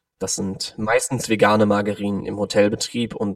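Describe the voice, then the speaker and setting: The sound is dry and close, without any echo. This man talks fairly quickly. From Cologne, Germany. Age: 20s. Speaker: vegan nutrition consultant. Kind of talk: interview.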